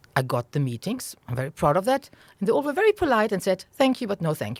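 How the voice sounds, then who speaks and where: With a German accent, a woman speaks in a dry, close sound that has no echo. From Germany. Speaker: venture capital investor. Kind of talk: interview. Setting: podcast recording.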